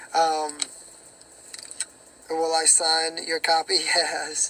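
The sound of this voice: His raspy, hoarse voice sits fairly high in pitch for a man and has a bright, sharp tone.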